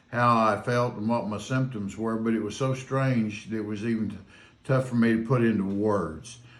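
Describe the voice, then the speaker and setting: At a moderate pace, a man talks with medium pitch and ordinary pitch variation, with audible room echo around him. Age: 70s. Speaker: patient recovered from covid. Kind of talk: interview testimony. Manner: halting, many fillers.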